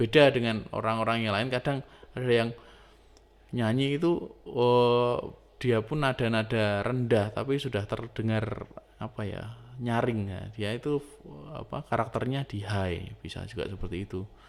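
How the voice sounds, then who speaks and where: A man talks at a fairly slow pace, keeping his intonation fairly even. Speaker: music teacher. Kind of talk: lecture. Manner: casual, hesitant with fillers.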